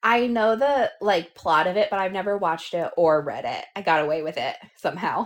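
A woman with an unremarkable speaking voice talks at a moderate pace, her pitch in the medium range. Her intonation is lively and she hardly pauses at all. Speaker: podcast host. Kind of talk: casual chat.

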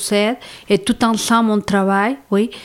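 A woman speaks at a fairly slow pace in a Mexican accent. Her pitch is fairly high. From Mexico. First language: Spanish (speaking French). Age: 40s. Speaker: psychosocial worker. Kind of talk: interview. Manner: halting.

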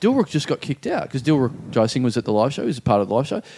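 In an Australian accent, a man speaks with very wide pitch swings. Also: very clean recording, silent background. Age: 30s. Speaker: comedian podcast co-host. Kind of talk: casual chat. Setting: studio.

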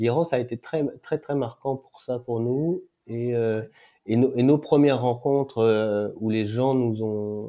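The man's voice sits at a medium pitch with fairly even intonation. He keeps a moderate pace. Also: very clean recording, silent background. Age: 40s. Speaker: overland traveller on a world tour with family. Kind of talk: casual interview. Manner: halting, many hesitations and repetitions.

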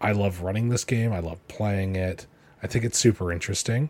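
Somewhat breathy speech moves at a fairly quick pace with fairly even intonation. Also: man. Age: 20s. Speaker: podcast host. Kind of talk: solo podcast update. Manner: casual, laughing.

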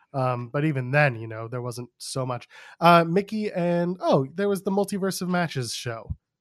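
Speaking at a moderate pace, a man has a high pitch and lively intonation. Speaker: podcast host, wrestling commentator. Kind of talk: casual chat.

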